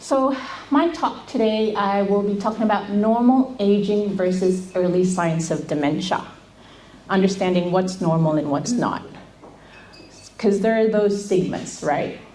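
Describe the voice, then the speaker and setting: Amid noticeable background noise and audible room echo, a woman speaks at a medium pitch and a fairly slow pace, with lively intonation and long, frequent pauses. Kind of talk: seminar talk.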